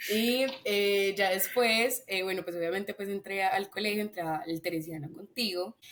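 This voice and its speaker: Over noticeable background noise, a woman talks at a moderate pace with hardly any pauses, medium pitch and ordinary pitch variation. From Colombia, Antioquia (paisa), raised in Bogotá. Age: 20s. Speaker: podcast guest, engineering student. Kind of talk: casual chat.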